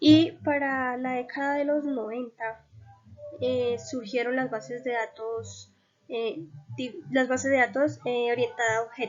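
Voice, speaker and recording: With music in the background, a woman with a high-pitched voice speaks at a fairly slow pace and ordinary pitch variation. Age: 20s. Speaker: university student. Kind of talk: class presentation. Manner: hesitant, frequent fillers.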